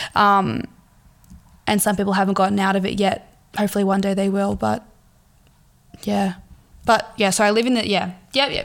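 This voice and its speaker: A woman with an Australian accent speaks at a moderate pace and a medium pitch. Her intonation is monotone and flat, broken by long, frequent pauses. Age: 20s. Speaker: podcast host. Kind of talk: casual monologue. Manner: halting.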